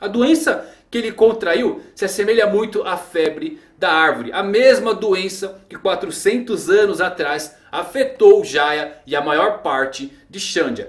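This man talks fairly slowly. His pitch ranges very widely. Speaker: anime commentary youtuber. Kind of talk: commentary. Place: home room.

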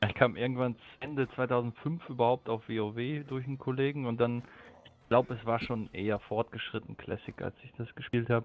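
Delivered at a moderate pace, an ordinary speaking voice keeps fairly even intonation but has big swings in loudness. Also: man, medium pitch for a man. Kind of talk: casual chat.

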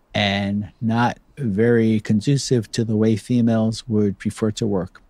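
A man with a medium-pitched voice and a dark, mellow tone, recorded with a dry, close sound and no echo. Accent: American. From US, New Jersey. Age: 70s. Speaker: product designer. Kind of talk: interview conversation. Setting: video call.

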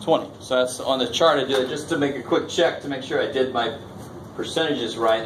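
Over noticeable background noise, a man speaks very fast with fairly even intonation. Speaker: college math instructor. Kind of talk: classroom lecture. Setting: classroom with students. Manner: conversational, interactive, informal. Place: classroom.

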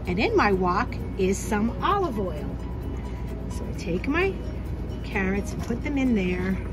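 A woman talks at a fairly slow pace over clear music in the background. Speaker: teacher cooking for students. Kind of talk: tutorial. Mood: warm, patient, teacherly. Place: kitchen. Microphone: phone near.

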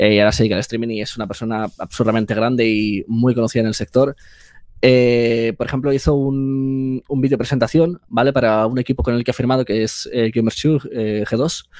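A man speaks with fairly even intonation at a moderate pace, the background quiet. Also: dry sound with no echo. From Spain. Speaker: video editor and filmmaker; guest. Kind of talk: interview conversation. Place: home room. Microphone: headset.

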